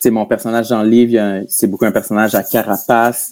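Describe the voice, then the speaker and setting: Speaking at a moderate pace, this voice has a dark, mellow tone and a Gaspésie accent. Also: man. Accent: Quebec French, Gaspésie. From Quebec, Gaspésie. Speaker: comedian and podcaster. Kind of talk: casual interview chat. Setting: video call.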